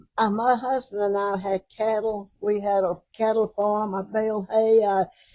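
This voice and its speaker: A woman speaks in a Mississippi accent at a medium pitch with a dark, mellow tone. Her intonation is monotone and flat. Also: moderate pace. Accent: Mississippi Southern. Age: 80s+. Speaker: judge. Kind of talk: casual chat.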